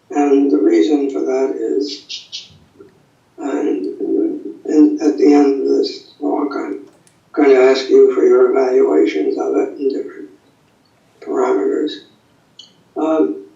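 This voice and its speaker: Amid audible room echo, a man speaks very slowly, with long, frequent pauses. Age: 90s. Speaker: acupuncture teacher and college co-founder. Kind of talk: lecture. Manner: halting.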